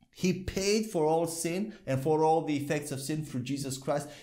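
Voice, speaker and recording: The background is quiet as a man talks. His pace is moderate and his intonation lively. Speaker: bible teacher. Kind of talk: sermon. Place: studio. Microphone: lapel.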